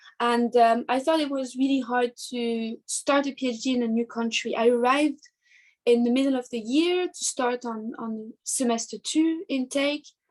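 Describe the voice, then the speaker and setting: High-pitched for a woman, her voice keeps a fairly even intonation throughout. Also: moderate pace. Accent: French. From southern France, near Marseille. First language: French. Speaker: artist and art teacher. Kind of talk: interview. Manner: halting.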